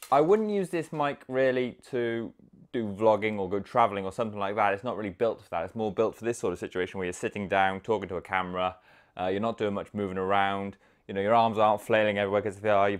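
Against a quiet background, a man speaks at a very fast pace in a fairly low pitch. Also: ordinary pitch variation. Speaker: reviewer. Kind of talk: casual product review to camera. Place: home room. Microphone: lapel.

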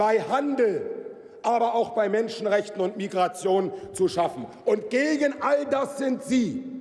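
Here a man speaks at a fairly slow pace. His pitch is high, with ordinary variation. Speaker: member of parliament. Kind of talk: parliament oratory, a combative, forceful rebuttal delivered from the lectern. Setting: parliament chamber. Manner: heated, emphatic and accusatory, hammering repeated phrases. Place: hall. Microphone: podium.

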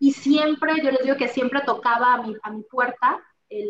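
The voice moves at a moderate pace with ordinary pitch variation, with audible room echo and light background noise. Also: woman. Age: 40s. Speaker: insurance executive; interview guest. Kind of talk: interview. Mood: warm, motivational. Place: office. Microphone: video call.

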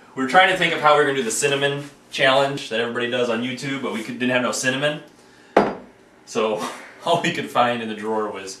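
Talking at a very fast pace, a man shows big swings in loudness over noticeable background noise. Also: ordinary pitch variation. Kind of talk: casual home video chat. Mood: playful, nervous laughter. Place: kitchen. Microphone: camera far.

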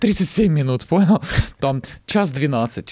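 Over a quiet background, a man speaks at a fairly high pitch in a dark, mellow tone. His pitch swings very widely. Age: 30s. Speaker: actor, screenwriter and stand-up comedian; actor, stand-up comedian. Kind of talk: casual interview chat. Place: studio. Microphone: studio mic.

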